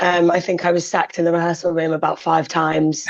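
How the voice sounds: A woman speaks low for her sex, husky and slightly mellow, with little pitch movement. Her pace is moderate.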